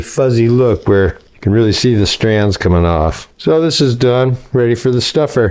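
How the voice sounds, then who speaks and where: With an American accent, a man speaks at a medium pitch in a dark, mellow tone, his pitch varying an ordinary amount. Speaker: home cook and food video creator. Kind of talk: tutorial. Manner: casual, conversational.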